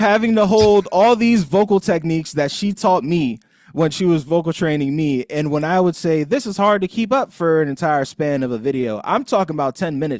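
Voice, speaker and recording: Speaking at a fairly quick pace with hardly any pauses, a man uses lively intonation and a fairly high pitch. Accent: American. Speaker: content creator and aspiring sportscaster. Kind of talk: casual interview conversation. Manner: articulate, trained broadcast delivery.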